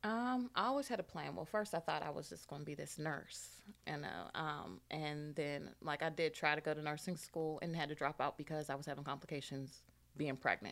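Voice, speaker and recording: Speaking at a fairly quick pace, a woman with a very deep, low pitch uses lively intonation and vocal fry. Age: 30s. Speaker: single mother and author. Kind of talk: interview. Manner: hesitant, many fillers.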